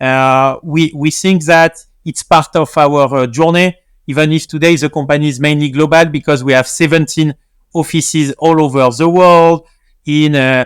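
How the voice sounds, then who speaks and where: Speaking with a French accent, a man has a fairly high pitch and fairly even intonation. He keeps a moderate pace, and the sound is dry and close with no echo. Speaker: tech company CEO. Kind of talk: interview. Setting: video call. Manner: hesitant, many fillers.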